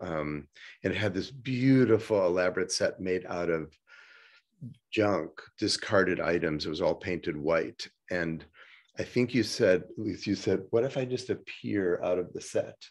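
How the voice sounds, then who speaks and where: A man speaks in a very deep, low voice with ordinary pitch variation. His pace is moderate, and the background is quiet. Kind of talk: interview answer. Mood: warm, reflective. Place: home room. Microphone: webcam.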